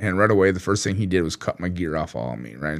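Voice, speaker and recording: A man with an American accent talks at a very fast pace in a very deep, low voice with vocal fry and ordinary pitch variation. The recording is very clean, with a silent background. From US Minnesota. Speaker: war veteran and author. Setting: studio. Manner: conversational, vivid and halting, with frequent fillers.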